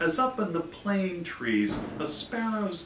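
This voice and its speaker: With audible room echo and noticeable background noise around him, a man talks very slowly. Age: 60s. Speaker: poet. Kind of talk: poetry reading.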